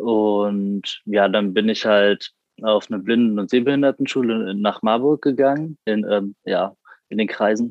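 In an unremarkable speaking voice, a man talks fairly slowly at a fairly low pitch with fairly even intonation. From Frankfurt am Main, Germany. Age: 20s. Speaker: university student with a visual impairment. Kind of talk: interview.

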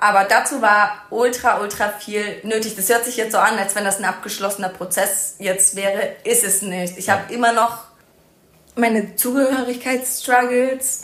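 A woman speaks at a moderate pace with a fairly high pitch and fairly even intonation. Noticeable background noise and audible room echo fill the recording. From Germany, rural. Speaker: podcast host, social worker. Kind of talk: casual conversation.

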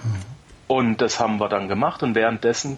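A man talks in a medium register. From Germany. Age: 30s. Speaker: podcaster, former soldier. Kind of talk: casual interview chat.

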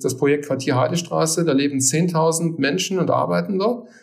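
The speech comes at a moderate pace with ordinary pitch variation, over noticeable background noise. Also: man. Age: 50s. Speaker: technology consultant, company partner. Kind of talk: interview. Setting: remote recording.

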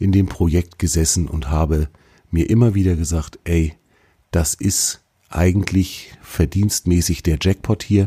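With a very deep, low pitch and ordinary pitch variation, a man speaks in a dark, mellow, somewhat breathy tone, the sound dry and close with no echo. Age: 40s. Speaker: podcast host. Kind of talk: solo podcast monologue. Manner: casual, conversational.

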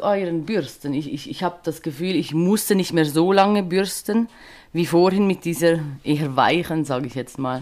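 Speaking at a moderate pace with a Swiss German accent, this woman has a fairly low pitch and lively intonation. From Switzerland. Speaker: social care worker and podcast guest. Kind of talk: casual interview chat. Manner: hesitant, many filler sounds.

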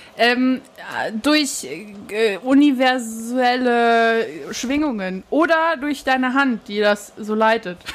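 The voice moves at a very slow pace with ordinary pitch variation. Noticeable background noise runs underneath. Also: woman, high pitch for a woman. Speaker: podcast co-host. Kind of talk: casual chat. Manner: soft-spoken.

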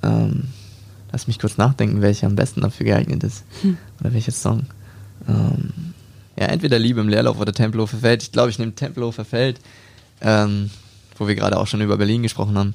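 A man speaks at a very fast pace with a fairly low pitch and ordinary pitch variation. Long pauses come often between his words. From Hamburg, northern Germany. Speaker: rapper. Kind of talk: casual interview.

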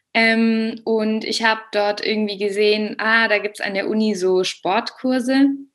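Fairly slow and monotone, with flat intonation, a woman speaks at a fairly high pitch. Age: 20s. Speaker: German teacher and yoga teacher. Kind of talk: interview testimony.

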